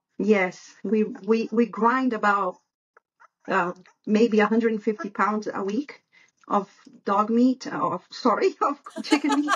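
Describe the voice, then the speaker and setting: Speaking at a fairly slow pace with long, frequent pauses, a woman with a Brazilian Portuguese accent has a fairly high pitch, a somewhat breathy sound and ordinary pitch variation. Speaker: dog breeder. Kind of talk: podcast interview.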